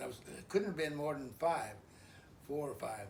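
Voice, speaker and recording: A man with an American accent, fairly high in pitch with ordinary pitch variation, amid audible room echo. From Idaho, US. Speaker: elderly father telling life story. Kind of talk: oral history interview. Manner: halting, many fillers and repeats.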